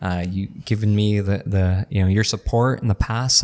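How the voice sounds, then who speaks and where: An American accent comes through as a man speaks in an ordinary speaking voice at a fairly low pitch and moderate pace. His intonation is fairly even, on a very clean recording with a silent background. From Imperial Valley, southern California. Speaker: teacher and local election candidate. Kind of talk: casual interview. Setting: brewery, in person.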